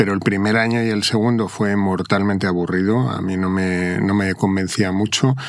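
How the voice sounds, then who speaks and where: Speaking at a moderate pace with hardly any pauses, a man uses a fairly low pitch and fairly even intonation. Background noise is noticeable. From Madrid, Spain. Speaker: corporate lawyer, company secretary. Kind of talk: interview conversation. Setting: video podcast studio.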